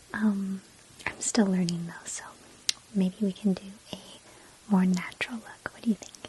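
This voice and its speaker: The voice is soft-spoken, with noticeable background noise behind it. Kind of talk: ASMR personal attention role play. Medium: role play.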